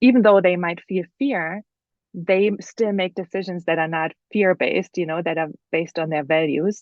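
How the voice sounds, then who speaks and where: In a German accent, a woman speaks at a medium pitch with ordinary pitch variation. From Germany. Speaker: author. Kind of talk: podcast interview. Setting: podcast.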